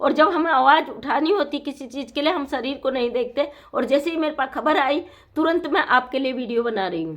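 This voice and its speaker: At a moderate pace, a woman speaks with high pitch and ordinary pitch variation. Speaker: YouTube news commentator. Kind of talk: monologue commentary. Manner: hesitant with fillers.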